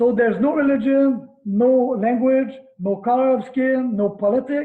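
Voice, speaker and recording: At a moderate pace, a man talks in a Quebec accent at an extremely high pitch. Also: fairly even intonation. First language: French. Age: 50s. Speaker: karate instructor. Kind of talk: interview.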